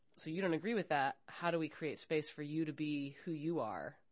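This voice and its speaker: A woman talks at a fairly quick pace in a very deep, low pitch with ordinary pitch variation. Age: 40s. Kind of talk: recorded interview conversation. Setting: university.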